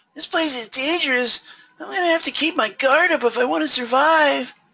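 A female-sounding, put-on character voice whines at a high pitch. The pace is fairly quick. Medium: game stream. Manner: whiny, ridiculous.

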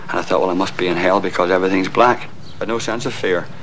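A man with a very deep, low pitch talks at a very fast pace over light background noise. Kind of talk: interview answer. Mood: grave, emotional recollection. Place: stadium. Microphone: old recording.

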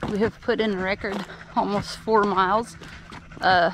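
Amid noticeable background noise, a woman speaks at a fairly slow pace with fairly even intonation, the sound dry with no echo. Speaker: hiker vlogger. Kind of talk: casual vlog chat. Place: forest. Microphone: phone near.

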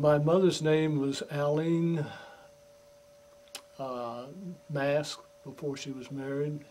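A man with an American accent speaks very slowly, with long, frequent pauses and big swings in loudness. His fairly high voice stays monotone and flat over light background noise. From Florida, Cape Canaveral; Florida. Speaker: longtime local resident; interviewee. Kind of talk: interview; interview answer. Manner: halting. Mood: calm reminiscing.

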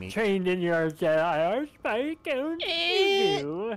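A put-on character voice, female-sounding and medium in pitch for a woman. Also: fairly slow pace. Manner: put-on villain voice, attempted.

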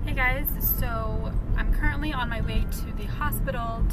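A woman talks at a fairly slow pace over music in the background, and the sound is dry with no echo. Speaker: vlogger. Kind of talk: casual vlog chat. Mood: groggy after surgery. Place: car. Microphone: phone near.

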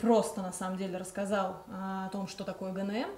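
Audible room echo surrounds a woman speaking at a moderate pace and a medium pitch. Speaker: event organizer hosting livestream; host of a psychology talk. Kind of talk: livestream introduction and announcements. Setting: online live broadcast. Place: home room.

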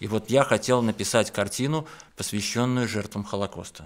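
The pace is moderate, with ordinary pitch variation. The background is quiet. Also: man. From Belarus. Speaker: painter; guest. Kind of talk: studio interview. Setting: radio studio. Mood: calm, earnest. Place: studio. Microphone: studio mic.

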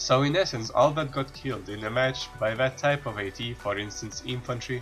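Music plays in the background as a man speaks at a fairly quick pace. His pitch is medium, with ordinary pitch variation. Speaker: game guide narrator. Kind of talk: game tutorial voice-over.

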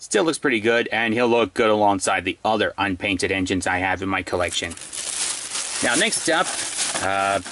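An ordinary speaking voice at a moderate pace, with very even loudness and ordinary pitch variation, in a dry sound with no echo and light background noise. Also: man, fairly low pitch for a man. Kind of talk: casual unboxing commentary. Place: home room. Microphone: phone near.

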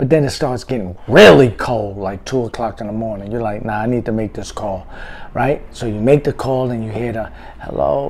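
Moderate pace and ordinary pitch variation over light background noise. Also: man. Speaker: vlogger telling a story. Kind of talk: casual vlog chat. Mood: reflective, wry. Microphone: phone near.

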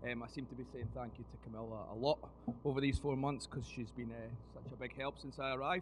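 A man talks at a fast pace. His intonation is fairly even. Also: medium pitch for a man.

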